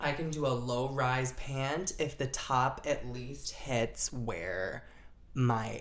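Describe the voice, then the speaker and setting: Audible echo fills the room. Through it, a woman talks with an American accent. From US Midwest, Chicago suburbs. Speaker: actress and model. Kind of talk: casual chat. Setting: living room.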